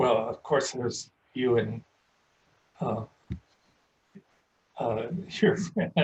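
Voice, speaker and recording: With an American accent, a man speaks very slowly at medium pitch in a somewhat breathy voice, with lively intonation and long, frequent pauses. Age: 80s+. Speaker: painter. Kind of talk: interview. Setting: video call. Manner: halting, many fillers.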